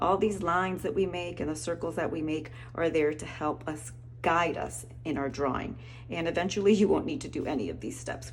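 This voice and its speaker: A woman at a fairly quick pace, amid audible room echo. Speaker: art teacher. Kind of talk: tutorial. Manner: fast.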